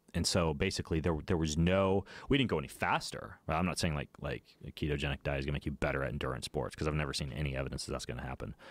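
A man's very deep, low voice with vocal fry and an American accent, very fast pace and ordinary pitch variation, on a very clean recording with a silent background. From Idaho, US. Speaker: fitness coach and author. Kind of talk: casual chat. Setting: studio.

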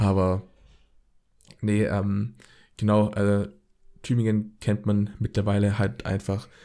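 A man talks with a fairly low pitch and a dark, mellow tone, keeping a monotone, flat intonation at a fairly slow pace. The recording is very clean, with a silent background. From Swabia, Baden-Württemberg. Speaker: podcast host. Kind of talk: casual chat.

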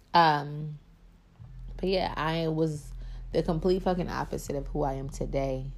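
A woman's very deep, low voice, fairly even in intonation, at a very slow pace. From East Baltimore. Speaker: podcast host. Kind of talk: casual, profane, spiritual talk. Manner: sometimes slurs words.

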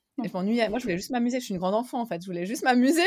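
In a very clean recording with a silent background, a woman speaks with lively intonation. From Switzerland, Geneva. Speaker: entrepreneur and coach. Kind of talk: interview.

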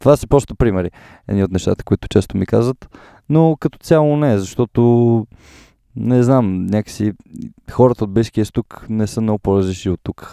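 Here a man speaks at a moderate pace and medium pitch with ordinary pitch variation. His tone is dark and mellow, in a very clean recording with a silent background. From Bulgaria, Sofia. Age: 20s. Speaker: podcaster. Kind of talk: interview.

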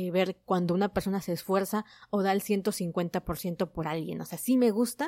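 Close, dry sound without echo, in a very clean recording against a silent background. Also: woman. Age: 20s. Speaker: podcast host reviewing manga. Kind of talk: casual solo podcast monologue. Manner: animated.

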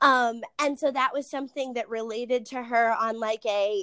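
A woman with an ordinary speaking voice, fairly high in pitch, with ordinary pitch variation at a moderate pace, in a very clean, dry, close recording with a silent background and no echo. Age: 20s. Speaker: elementary school teacher. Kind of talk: interview.

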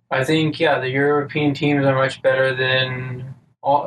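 A man with an ordinary speaking voice, pitched fairly high, keeps his intonation fairly even. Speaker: podcast co-host. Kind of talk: casual banter.

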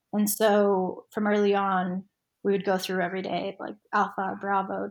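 The woman's voice sits at a medium pitch. She speaks in a flat monotone. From Argentina, then Utah US. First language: Spanish. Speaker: nonprofit board member and lawyer. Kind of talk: casual interview chat.

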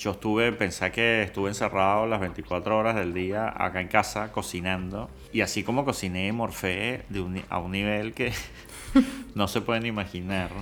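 A man with an unremarkable speaking voice talks at a fairly low pitch and moderate pace with fairly even intonation. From Venezuela. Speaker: food influencer and home cook. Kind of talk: casual interview chat.

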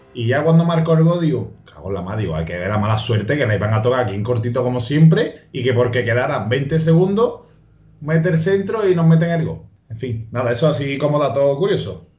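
A man talks fairly quickly in a medium pitch with very wide pitch swings. Noticeable background noise runs underneath. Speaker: football pundit. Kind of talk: casual chat. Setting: video call.

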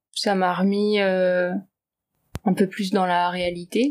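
Very slow speech from a woman at medium pitch. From Paris region, France. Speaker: artist and writer. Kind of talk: interview.

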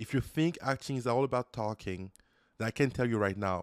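A man with an unremarkable speaking voice talks fairly quickly at a medium pitch with ordinary pitch variation, in a very clean, dry, close recording with a silent background and no echo. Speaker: software developer and YouTuber. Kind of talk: casual chat.

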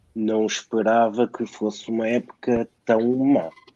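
A man's medium-pitched voice at a very slow pace, dry and close with no echo. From Portugal, Lisbon. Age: 40s. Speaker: football fan and guest commentator. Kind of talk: panel discussion.

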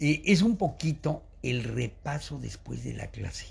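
A man speaks at a very slow pace, sounding somewhat breathy. His pitch swings very widely. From Mexico City. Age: 80s. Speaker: retired biologist, teacher and school founder. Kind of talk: casual interview, life story.

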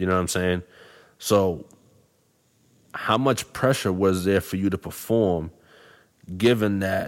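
At a fairly slow pace, a man with a Boston accent speaks in a fairly low pitch with fairly even intonation. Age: 30s. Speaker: podcast host. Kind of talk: casual chat. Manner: halting, repeats words.

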